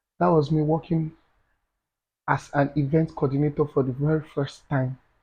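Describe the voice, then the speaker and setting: A man's somewhat breathy voice, dark and mellow in tone, with monotone, flat intonation. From Nigeria. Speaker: event planner. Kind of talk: podcast interview answer.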